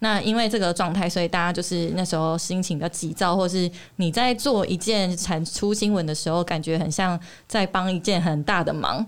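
On a very clean recording with a silent background, a woman with a normal speaking voice and fairly low pitch talks at a fairly quick pace, keeping very even loudness and fairly even intonation. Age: 30s. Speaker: TV reporter and author. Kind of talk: interview.

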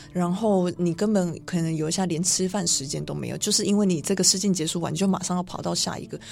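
Racing at a very fast pace, a woman talks in a fairly low pitch. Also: fairly even intonation. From Taiwan. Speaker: fashion model. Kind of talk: radio interview. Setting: radio studio.

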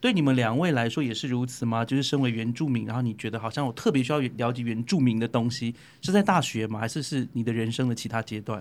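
Speaking at a very fast pace with hardly any pauses, a man uses a medium pitch and ordinary pitch variation. The recording is very clean, with a silent background. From Taiwan, Bunun. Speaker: podcast co-host. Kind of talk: casual chat.

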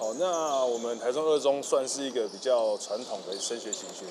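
A man talks at a moderate pace with ordinary pitch variation and big swings in loudness. Noticeable background noise and audible room echo surround him. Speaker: volleyball coach and school PE head. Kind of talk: interview. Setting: school gymnasium.

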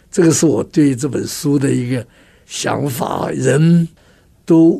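A man speaks at a very slow pace. Noticeable background noise can be heard. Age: 80s. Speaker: communication trainer and author. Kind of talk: radio interview.

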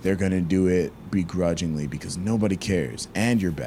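Very deep and low in pitch, a man speaks at a moderate pace with lively intonation. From US South, Georgia. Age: 20s. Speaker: violist and content creator. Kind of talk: interview. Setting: remote call from his bedroom.

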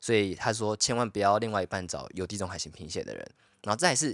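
A man with a Taiwanese accent talks at a fairly quick pace in a fairly low voice. The recording is very clean, with a silent background and a dry, close sound with no echo. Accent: Taiwanese Mandarin. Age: 20s. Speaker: podcast co-host. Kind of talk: casual chat.

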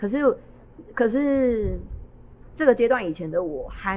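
The voice moves through very wide pitch swings. Its pace is fairly slow. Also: woman. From Taiwan, Miaoli (Hakka). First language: Hakka (speaking Chinese). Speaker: Hakka singer-songwriter and stage actor. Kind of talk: casual interview. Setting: live event venue.

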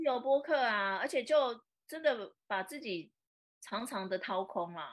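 Speaking with a Taiwanese accent, a woman talks at a fairly slow pace in a fairly high pitch, her voice swinging very widely in pitch. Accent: Taiwanese Mandarin. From Taiwan, Taipei. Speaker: social media influencer and entrepreneur. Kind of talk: casual interview. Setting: live stream.

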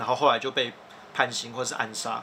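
The man's delivery is fairly quick. Behind him there's noticeable background noise. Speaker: podcast host, editor-in-chief. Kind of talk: casual explanatory chat. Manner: animated.

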